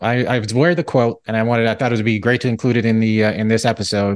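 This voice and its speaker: Against a quiet background, a man with a medium pitch talks at a very fast pace with ordinary pitch variation. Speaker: financial planner podcast host. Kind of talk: interview conversation.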